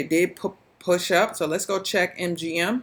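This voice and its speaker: Fairly low in pitch, a woman with an unremarkable speaking voice talks at a fairly slow pace. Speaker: stock trading educator. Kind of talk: screen-share trading recap.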